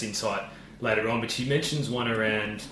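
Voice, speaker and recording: A man speaks at a medium pitch with an Australian accent and ordinary pitch variation. Noticeable background noise runs underneath. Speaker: podcast host, former footballer. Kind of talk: casual interview. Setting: host's home, in person.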